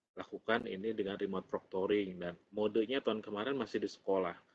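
Recorded dry with no echo, a man with a fairly low pitch and ordinary pitch variation speaks in an unremarkable speaking voice. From Indonesia. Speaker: presenter. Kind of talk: webinar Q&A. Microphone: video call.

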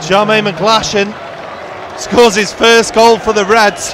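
With a British accent, the speaker goes at a fairly slow pace over noticeable background noise, the sound dry with no echo. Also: man. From Britain. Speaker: football commentator. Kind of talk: commentary. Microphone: headset.

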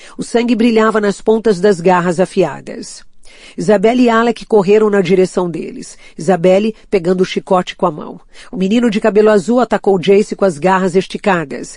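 A woman uses a normal speaking voice at medium pitch and a moderate pace. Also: ordinary pitch variation. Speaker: audiobook narrator. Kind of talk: audiobook reading of a fantasy novel, dramatic narration.

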